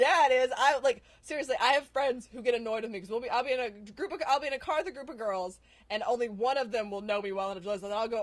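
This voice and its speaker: High-pitched woman with an American accent, very fast, lively in intonation, with big swings in loudness. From US South. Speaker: actress. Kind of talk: casual chat.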